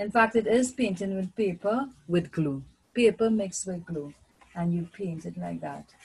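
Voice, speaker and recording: Somewhat breathy, a woman speaks at a moderate pace with lively intonation and big swings in loudness. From Trinidad and Tobago. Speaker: primary school teacher. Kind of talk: online art lesson for children. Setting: video lesson with screen share. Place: home room. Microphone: webcam.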